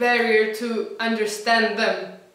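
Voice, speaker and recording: A woman speaks in a high voice with a Spanish accent. Audible room echo surrounds her. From Colombia. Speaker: former language program student. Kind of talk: testimonial. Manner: halting, with repeated words.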